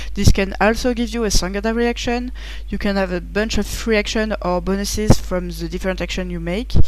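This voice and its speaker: A woman with a French accent talks at a fairly quick pace amid audible room echo and noticeable background noise. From France. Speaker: board game reviewer. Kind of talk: game rules preview. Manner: halting, many fillers.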